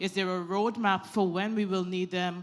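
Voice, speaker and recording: This woman talks at a moderate pace and a medium pitch, her intonation monotone and flat. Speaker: audience member asking a question. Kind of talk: audience question.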